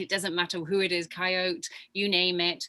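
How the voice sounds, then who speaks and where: A woman speaks at a medium pitch with a bright, sharp tone. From England, Leicestershire. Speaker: spiritual guide working with animals. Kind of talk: casual chat.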